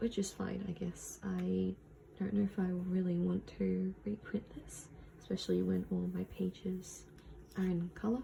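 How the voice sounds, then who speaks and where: Fairly slow speech with an Australian accent. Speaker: vlogger. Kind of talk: casual vlog narration. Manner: hesitant, many fillers.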